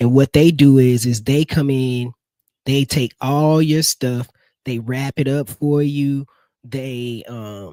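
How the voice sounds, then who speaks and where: A man of medium pitch and dark, mellow tone speaks at a very slow pace with fairly even intonation, in a dry, close sound with no echo. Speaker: live stream host for marketing agency. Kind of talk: live stream product demo. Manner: casual, filler-heavy.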